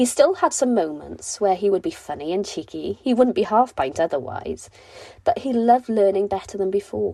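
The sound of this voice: The voice has a dark, mellow tone with vocal fry and a slightly husky edge. It moves at a moderate pace. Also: woman.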